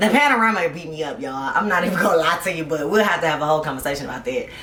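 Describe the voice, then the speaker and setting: Very fast and animated, the speech has ordinary pitch variation, audible room echo, and noticeable background noise. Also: woman. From US South (south Georgia, Tennessee). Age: 20s. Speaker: podcast host and high school history teacher. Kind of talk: casual chat.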